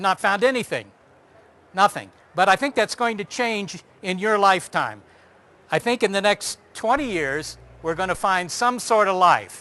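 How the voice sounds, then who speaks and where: Raised and projected, a man's voice with a high pitch and a bright, sharp tone moves at a moderate pace with ordinary pitch variation. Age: 50s. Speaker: astronomer giving a talk. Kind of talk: lecture. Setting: stage with audience. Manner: animated.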